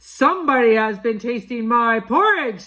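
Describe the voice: Putting on a character voice, a woman speaks at a moderate pace. Her pitch sits fairly high.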